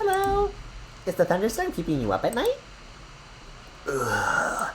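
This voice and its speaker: A man puts on a character voice, pitched extremely high, at a moderate pace. Background noise is clearly audible. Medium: virtual streamer. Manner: sly, conspiratorial.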